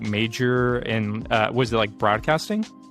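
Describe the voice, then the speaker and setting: Someone talks at a fairly slow pace while music plays in the background. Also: man. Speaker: podcast host. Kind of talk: interview questions.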